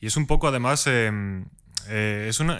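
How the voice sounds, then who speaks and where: Very clean audio with total silence behind a man's bright, sharp delivery. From Spain, mountain village near Madrid. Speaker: podcast host. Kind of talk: casual chat.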